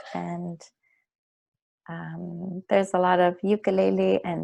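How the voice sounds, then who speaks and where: A woman with a Canadian Arctic accent talks over a quiet background. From Nunavut, Canada (Pangnirtung). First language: Inuktitut. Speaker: singer-songwriter. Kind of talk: interview.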